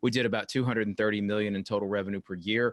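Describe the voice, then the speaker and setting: In a North Carolina accent, a man speaks at a fairly low pitch with fairly even intonation. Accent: Southern US (North Carolina). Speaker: company executive. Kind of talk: interview. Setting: video call. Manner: hesitant, many fillers.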